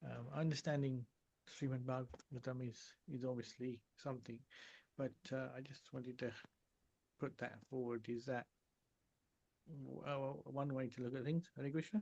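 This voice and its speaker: Quietly, a man talks at a medium pitch and a moderate pace with a dark, mellow tone, fairly even intonation and long, frequent pauses. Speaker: devotee asking a question. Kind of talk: religious Q&A.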